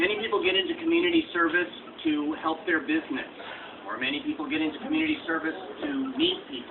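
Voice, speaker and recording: A man speaks at a very fast pace. Noticeable background noise is present. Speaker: local politician. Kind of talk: public speech. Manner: loud.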